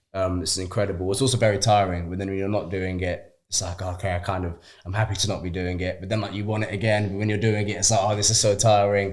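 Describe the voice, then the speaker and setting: Very fast speech from a man in a fairly low voice comes through in a very clean recording with a silent background. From Shrewsbury, West Midlands, England. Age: young. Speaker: actor. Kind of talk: interview answer. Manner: casual, chatty.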